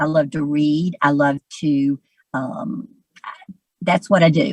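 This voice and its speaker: In a Southern US accent, a woman talks at a very slow pace with a very deep, low pitch and ordinary pitch variation, the sound dry and close with no echo. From US South, Georgia (Alpharetta). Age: 70s. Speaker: real estate broker and educator. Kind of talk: interview.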